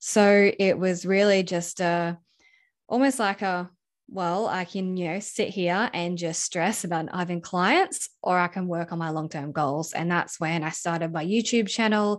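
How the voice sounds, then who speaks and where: With an Australian accent, a woman speaks at a fairly slow pace in a medium pitch with ordinary pitch variation against a quiet background. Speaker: video editor and coach. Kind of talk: interview. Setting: remote call.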